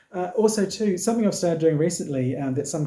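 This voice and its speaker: A man with a New Zealand accent, a dark, mellow tone, a somewhat breathy quality and lively intonation. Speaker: knitting podcaster. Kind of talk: casual talk to camera.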